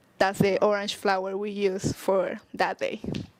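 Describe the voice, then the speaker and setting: Speaking in a Spanish accent, the woman takes a fairly slow pace. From Mexico, San Luis Potosí. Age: 20s. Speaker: social media marketer. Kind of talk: podcast interview.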